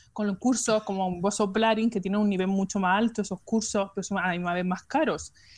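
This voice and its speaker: A woman's voice sits at medium pitch and sounds somewhat breathy. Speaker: nurse. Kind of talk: casual chat.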